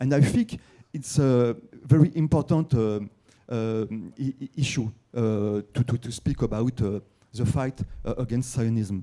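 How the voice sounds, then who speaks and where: A man with a French accent speaks at a fairly slow pace with long, frequent pauses, using a medium pitch, ordinary pitch variation and a dark, mellow tone. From France. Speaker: newspaper writer, audience member. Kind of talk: audience question at conference. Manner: halting, many fillers and repetitions.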